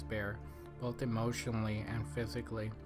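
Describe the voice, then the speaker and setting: A man's medium-pitched voice over music in the background. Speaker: film reviewer. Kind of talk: film commentary to camera. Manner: mumbling.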